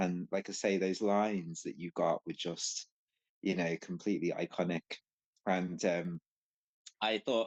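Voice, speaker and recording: Recorded dry and close with no echo, a man talks over a quiet background. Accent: Scouse. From Liverpool, England. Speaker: podcast guest, anime fan. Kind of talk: casual chat. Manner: halting, many fillers.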